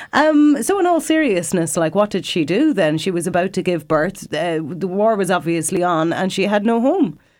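A woman with an Irish accent, very wide pitch swings and hardly any pauses at a moderate pace, on a very clean recording with a silent background. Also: medium pitch for a woman. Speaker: radio host. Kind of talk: interview.

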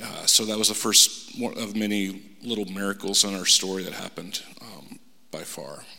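Speaking with an American accent, a man uses a fairly low pitch, a moderate pace and fairly even intonation, his loudness swinging widely, over noticeable background noise. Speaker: salesman. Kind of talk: testimony. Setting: church. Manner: halting.

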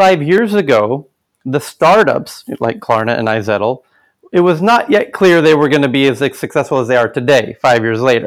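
Very clean, silent-background recording of a man with a fairly high voice, an American accent, very wide pitch swings and a moderate pace. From United States. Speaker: tech event organizer. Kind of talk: interview.

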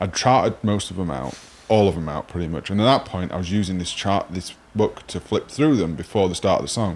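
Speaking at a fairly quick pace, a man with a Sheffield accent has a very deep, low pitch. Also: lively intonation. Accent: Sheffield northern English. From Sheffield, northern England. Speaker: podcast host, guitarist. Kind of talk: casual interview chat.

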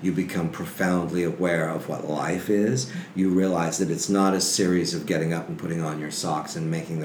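A man with a very deep, low pitch speaks with an American accent over noticeable background noise, with audible room echo. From Texas and Sacramento, California. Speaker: film historian and archivist. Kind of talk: casual interview chat. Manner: animated.

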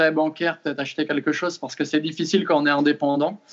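A man talks with fairly even intonation. His pitch sits fairly high. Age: 20s. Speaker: fitness coach. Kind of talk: interview. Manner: hesitant, many fillers.

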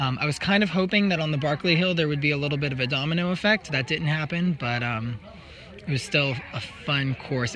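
Noticeable background noise runs beneath a man talking at a very fast pace. His pitch is fairly high, with ordinary variation. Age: 20s. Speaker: trail runner. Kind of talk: casual interview.

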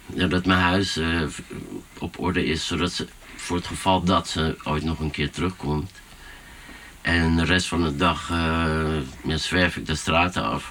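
A man speaks at a fairly slow pace with a very deep, low pitch, fairly even intonation, long and frequent pauses, and noticeable background noise. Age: 40s. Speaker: DJ and music producer. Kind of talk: casual chat. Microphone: poorer sound quality.

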